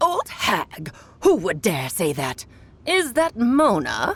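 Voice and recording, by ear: The delivery is very slow. It is a put-on character voice pitched fairly high.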